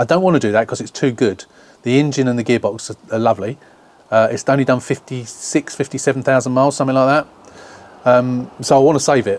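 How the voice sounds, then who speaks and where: A man with an English accent talks at a very fast pace and medium pitch with ordinary pitch variation, in a dry, close sound with no echo. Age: 60s. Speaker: car restoration YouTuber. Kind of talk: casual vlog chat.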